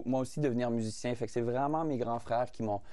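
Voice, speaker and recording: Medium-pitched male speech, dark and mellow, delivered in a flat monotone. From Saskatchewan, Canada (Fransaskois, rural farm). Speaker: singer-songwriter. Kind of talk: TV interview. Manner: halting, many repetitions and fillers.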